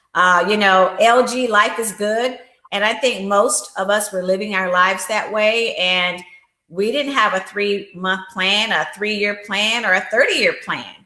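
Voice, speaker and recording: A woman speaks at a fairly slow pace and medium pitch with fairly even intonation, and audible room echo surrounds her. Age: 60s. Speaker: life insurance agent and empowerment coach. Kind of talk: interview.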